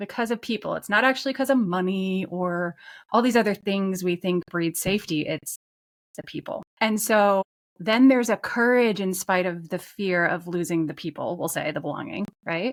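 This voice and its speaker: With a plain, everyday voice, a woman speaks at medium pitch and a moderate pace with ordinary pitch variation, the sound dry and close with no echo on a very clean recording with a silent background. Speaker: podcast host and coach; former physical therapist turned coach. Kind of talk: conversational interview.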